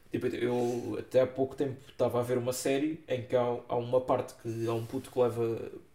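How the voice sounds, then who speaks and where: A man with a European Portuguese accent and a dark, mellow tone, somewhat breathy, monotone and flat, at a fairly quick pace with hardly any pauses. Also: medium pitch for a man. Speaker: film podcast host. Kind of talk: casual chat.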